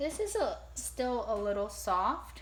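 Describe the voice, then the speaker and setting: There is audible room echo and noticeable background noise as a woman speaks at a very slow pace. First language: Japanese. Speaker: ceramics teacher. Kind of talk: tutorial. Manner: casual, hesitant with fillers.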